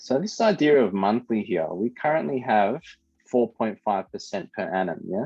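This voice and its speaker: A man with an Australian accent, medium-pitched, at a moderate pace and with lively intonation. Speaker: high school maths teacher. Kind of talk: online class lesson. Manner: casual.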